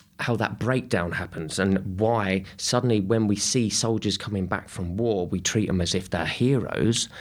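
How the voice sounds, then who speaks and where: A man's fairly even intonation accompanies his fairly slow pace as he talks. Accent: southern English. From England, Kent. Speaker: artist and activist, formerly homeless. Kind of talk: interview conversation. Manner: halting.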